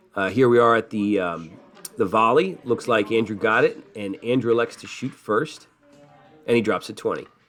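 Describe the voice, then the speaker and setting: With music in the background, a man at a medium pitch talks at a moderate pace with ordinary pitch variation. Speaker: crokinole match commentator. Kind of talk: sports play-by-play commentary. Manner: casual, hesitant with fillers.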